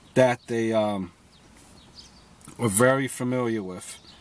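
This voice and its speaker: A man speaks rather slowly while background noise is clearly heard. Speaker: sports commentator. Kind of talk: solo sports preview monologue. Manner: halting, many fillers; off the cuff, unscripted.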